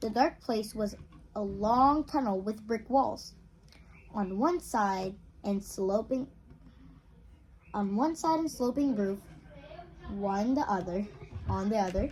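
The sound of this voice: A woman speaks at a slow pace with a slightly mellow tone. Her delivery is broken by long, frequent pauses. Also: medium pitch for a woman, ordinary pitch variation.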